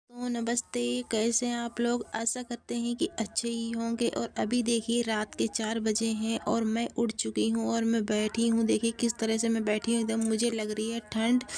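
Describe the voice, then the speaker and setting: Fairly high-pitched and monotone, a woman speaks at a fairly slow pace with hardly any pauses over noticeable background noise. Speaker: vlogger. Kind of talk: casual vlog talk to camera. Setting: small room at home, early morning.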